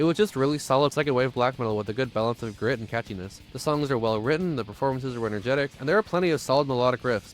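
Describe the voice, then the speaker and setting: Music plays in the background as a man with an American accent talks at a very fast pace. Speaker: music reviewer. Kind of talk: album review monologue. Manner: lispy.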